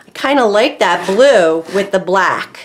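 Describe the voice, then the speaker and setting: Lively intonation marks a woman's voice over light background noise. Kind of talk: tutorial.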